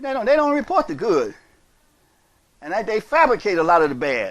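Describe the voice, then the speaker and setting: A man is speaking here. His pitch swings very widely. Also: very clean recording, silent background. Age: 60s. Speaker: imam. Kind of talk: sermon. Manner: repetitive, emphatic.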